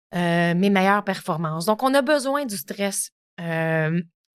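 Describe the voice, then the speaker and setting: With a Quebec accent, a woman speaks at a fairly slow pace in a medium pitch with lively intonation, recorded very cleanly against a silent background. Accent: Québécois French. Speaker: podcast host. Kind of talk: solo podcast talk. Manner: casual, many filler words.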